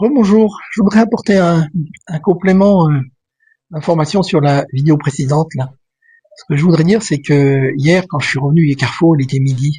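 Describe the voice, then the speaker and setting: A man's fairly high, dark and mellow voice at a moderate pace, with big swings in loudness. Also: ordinary pitch variation. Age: 60s. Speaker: vlogger. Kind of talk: casual vlog monologue. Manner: hesitant, many fillers.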